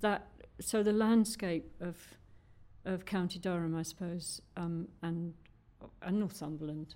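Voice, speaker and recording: This woman's voice has a dark, mellow tone and a fairly low pitch. Her intonation stays fairly even. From London and Newcastle. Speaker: poet. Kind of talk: conversational interview with poetry readings. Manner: hesitant.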